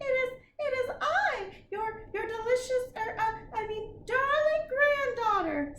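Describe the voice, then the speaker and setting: Putting on a character voice with an extremely high pitch, a woman speaks at a fairly slow pace with hardly any pauses, with a slight echo. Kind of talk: storybook reading. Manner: hesitant, stumbling over words.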